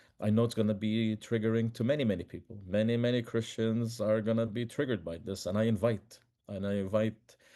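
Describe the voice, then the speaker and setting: Hardly pausing, a man with an Arabic accent speaks at a medium pitch in a dark, mellow tone with fairly even intonation. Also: fairly quick pace. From Palestine, Bethlehem. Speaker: peace activist and author. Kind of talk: podcast interview. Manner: halting, with repetitions.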